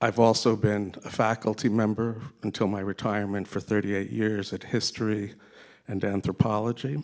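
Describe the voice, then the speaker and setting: Monotone, flat delivery in an American accent at a moderate pace. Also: man, fairly low pitch for a man. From US, New York area. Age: 60s. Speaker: retired professor, audience member. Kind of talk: audience question. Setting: seminar with audience.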